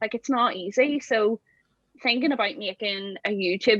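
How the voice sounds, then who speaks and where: Speaking with a Belfast accent, a woman keeps a moderate pace and ordinary pitch variation. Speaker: campervan converter and social media creator. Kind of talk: casual chat.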